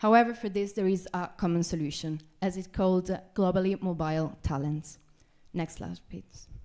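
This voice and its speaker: A woman with a dark, mellow tone against a quiet background. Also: ordinary pitch variation, moderate pace. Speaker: business school student; presenter. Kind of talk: presentation. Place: hall. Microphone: handheld.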